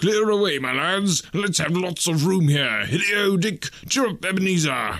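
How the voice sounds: Using a put-on character voice, a man speaks high with lively intonation. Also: moderate pace.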